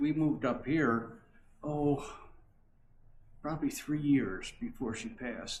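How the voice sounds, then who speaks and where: Somewhat breathy, a man speaks in a fairly high pitch. His pace is fairly slow. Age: 80s+. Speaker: longtime church member. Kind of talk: interview. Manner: halting.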